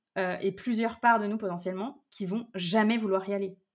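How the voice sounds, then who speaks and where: Her normal speaking voice at a medium pitch and with fairly even intonation, a woman is heard on a very clean recording with a silent background. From Brittany, France. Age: 30s. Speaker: wellness business coach. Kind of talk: casual interview conversation.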